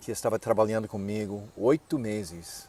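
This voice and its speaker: The speaker has an American accent and a fairly slow pace. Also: man. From US, Nebraska. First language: English (speaking Portuguese). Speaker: pastor and missionary. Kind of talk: interview. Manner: halting.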